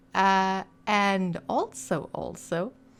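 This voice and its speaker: A non-native accent in a very clean recording with a silent background. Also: woman. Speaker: video game lore YouTuber. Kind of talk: casual intro before reading aloud. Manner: soft-spoken.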